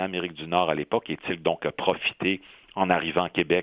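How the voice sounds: This man talks at a low pitch, and the sound is dry and close with no echo.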